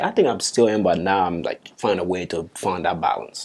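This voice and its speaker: With a Liberian accent, a man talks at a moderate pace in a very deep, low pitch and fairly even intonation. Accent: Liberian accent, unchanged after years in US. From Liberia, Bong County. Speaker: soccer player. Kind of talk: podcast interview.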